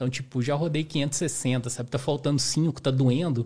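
A man's somewhat breathy, dark, mellow voice at medium pitch, fairly even in intonation, at a moderate pace, on a very clean recording with a silent background. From Brazil, southern Minas Gerais. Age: 30s. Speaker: amateur ultramarathon runner. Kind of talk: podcast interview. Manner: casual.

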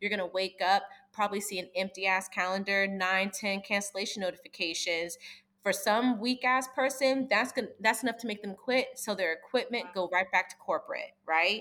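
Fairly quick speech from a woman with an American accent and a bright, sharp tone. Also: medium pitch for a woman, ordinary pitch variation. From US East Coast. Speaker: esthetician. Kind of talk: casual chat. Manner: direct.

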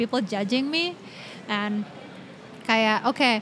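A woman speaks in an Indonesian accent. She goes at a moderate pace. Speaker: podcast host. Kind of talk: casual chat.

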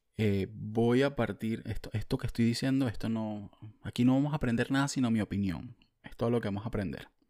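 With a Venezuelan accent, a man talks at a fairly quick pace and a medium pitch. His tone is dark and mellow, with ordinary pitch variation. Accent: Venezuelan, drops the s sounds. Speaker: podcast host. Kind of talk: casual monologue. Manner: animated.

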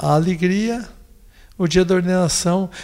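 A man with a high pitch, speaking at a fairly slow pace. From São Paulo state, Brazil (São José do Rio Pardo). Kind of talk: interview.

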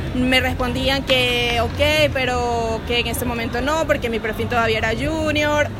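With a Venezuelan accent, a woman talks at a fairly slow pace with hardly any pauses, crowd noise in the background and audible room echo. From Venezuela, Valencia. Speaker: production engineer. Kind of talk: interview.

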